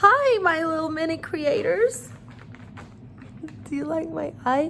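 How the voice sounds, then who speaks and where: Fairly slow speech with noticeable background noise underneath. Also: woman. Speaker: art teacher for children. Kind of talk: tutorial. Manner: animated.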